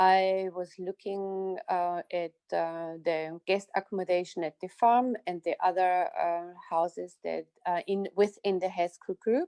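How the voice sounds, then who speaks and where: Dark and mellow in tone, the voice moves at a fairly slow pace in an Austrian accent over a quiet background. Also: woman, dry, close sound with no echo. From Austria, southern Styria. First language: German. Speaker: winery operations manager. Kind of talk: interview.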